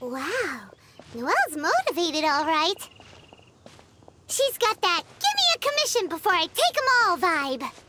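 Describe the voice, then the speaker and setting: In a put-on character voice with extremely high pitch, the speaker moves at a moderate pace, leaving long, frequent pauses. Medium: video game. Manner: energetic, chatty.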